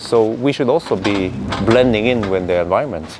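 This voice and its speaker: Against noticeable background noise, a man with a Norwegian accent speaks at a fairly quick pace. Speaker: EV video creator. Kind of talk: casual vlog commentary. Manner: halting, many fillers.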